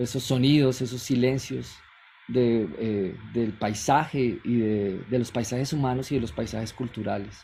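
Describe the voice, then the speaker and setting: A man speaks at a medium pitch with ordinary pitch variation, his voice somewhat breathy, and the room echo is audible. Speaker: sound artist and researcher. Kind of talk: keynote lecture.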